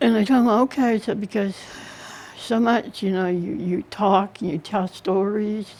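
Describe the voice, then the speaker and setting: A woman speaks fairly slowly, with background noise clearly present. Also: medium pitch for a woman, ordinary pitch variation. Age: 60s. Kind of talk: interview answer.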